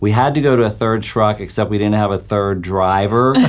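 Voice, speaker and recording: With fairly even intonation and a fairly low pitch, a man talks in a normal speaking voice. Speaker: wealth manager guest. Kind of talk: casual radio interview.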